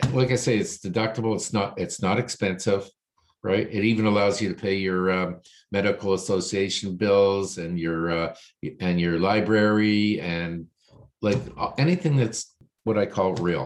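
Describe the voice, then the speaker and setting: A man with a fairly low pitch speaks at a moderate pace in a normal speaking voice, with fairly even intonation and a quiet background. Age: 60s. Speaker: financial planner. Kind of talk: casual chat.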